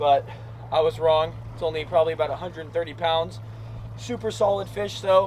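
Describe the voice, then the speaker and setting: Music plays in the background as a man talks at a moderate pace. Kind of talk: casual vlog chat. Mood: excited, satisfied. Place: boat.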